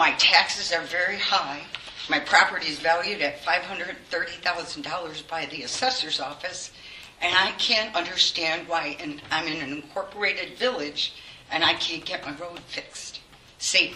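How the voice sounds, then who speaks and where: Amid noticeable background noise and audible room echo, a woman speaks at a moderate pace with fairly low pitch, ordinary pitch variation and big swings in loudness. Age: 60s. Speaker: resident speaking at public comment. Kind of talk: public comment at council meeting. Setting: village board meeting room.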